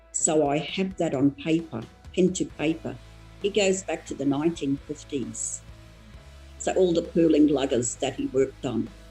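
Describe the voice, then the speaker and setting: A woman's voice moves at an even, moderate speed while music runs underneath. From Torres Strait, Australia. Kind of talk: interview answer.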